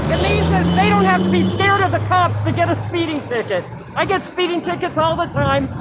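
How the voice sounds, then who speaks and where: Over noticeable background noise, a speaker with an American accent talks at a fairly quick pace. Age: 70s. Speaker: protester. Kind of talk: street interview.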